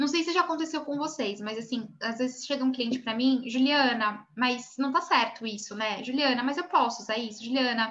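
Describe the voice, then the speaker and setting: Pitched high, a woman speaks with ordinary pitch variation amid audible room echo. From Brazil. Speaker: image consultant and course instructor. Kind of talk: online class lecture. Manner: fast.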